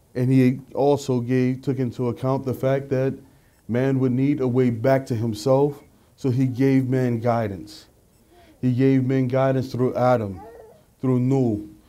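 The delivery is monotone and flat, fairly slow, with very even loudness throughout. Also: man. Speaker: religious lecturer. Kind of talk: sermon. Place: hall. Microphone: studio mic.

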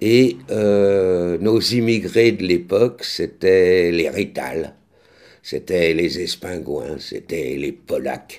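This man's pitch is very deep and low, with ordinary variation. He speaks at a very slow pace. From France. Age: 60s. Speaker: actor and vlogger; author-actor chronicler. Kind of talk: vlog commentary; casual vlog chat. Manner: halting, many hesitations. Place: kitchen. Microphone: studio mic.

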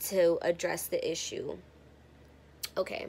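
Light background noise is present. A woman's voice comes through. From San Francisco, US West Coast; California. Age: 20s. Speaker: YouTuber. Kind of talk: casual vlog Q&A. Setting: friend's house. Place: home room. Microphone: phone near.

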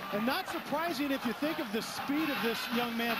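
Against noticeable background noise, a man talks at a fairly quick pace and an extremely high pitch, with ordinary pitch variation. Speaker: color commentator, former football player. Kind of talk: live sports commentary. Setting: stadium broadcast booth.

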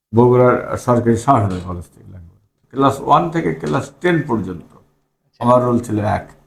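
A man speaks at a medium pitch with lively intonation and a somewhat breathy voice. His loudness swings a lot. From Bangladesh, Bogura (Gabtali). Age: 50s. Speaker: local politician. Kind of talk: interview.

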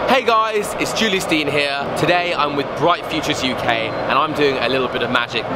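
Loud background noise runs under speech that has hardly any pauses. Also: man, moderate pace. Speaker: magician vlogger. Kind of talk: casual vlog chat. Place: street. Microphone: phone near.

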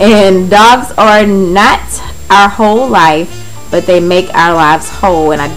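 Faint music plays in the background while a woman speaks with ordinary pitch variation. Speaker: home vlogger. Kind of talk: casual vlog chat. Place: kitchen. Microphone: phone near.

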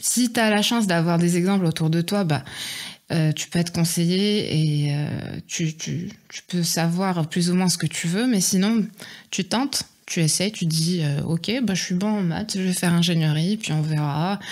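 A woman speaks at a fairly slow pace. Her pitch is fairly low. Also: ordinary pitch variation, very clean recording, silent background. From Morocco, Oujda. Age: 20s. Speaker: airline pilot cadet. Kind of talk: interview. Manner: hesitant, many fillers.

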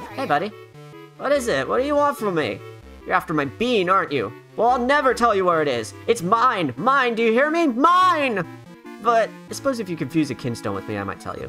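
Clear music plays in the background as a man uses a put-on character voice. He sounds high-pitched and talks at a fairly quick pace. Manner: possessive, cranky.

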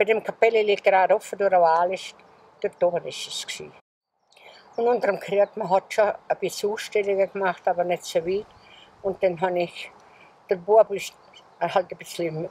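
A woman with a dark, mellow tone speaks at a moderate pace and medium pitch, her intonation fairly even. Long, frequent pauses break up the dry sound with no echo. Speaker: contemporary witness. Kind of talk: interview answer. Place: garden.

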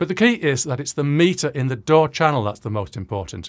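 Over a quiet background, a man speaks at a fairly quick pace, his pitch swinging very widely. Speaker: audio recording educator. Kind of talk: tutorial. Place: home room. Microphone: studio mic.

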